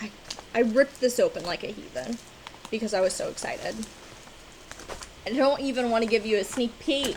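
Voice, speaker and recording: Amid noticeable background noise, a woman with a high pitch and ordinary pitch variation talks in an animated tone at a fairly quick pace, broken by long, frequent pauses. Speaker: cross-stitch vlogger. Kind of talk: casual chat.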